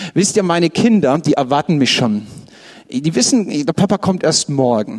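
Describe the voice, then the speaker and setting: At a moderate tempo, a man talks against noticeable background noise. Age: 30s. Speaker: pastor. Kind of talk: sermon. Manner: animated.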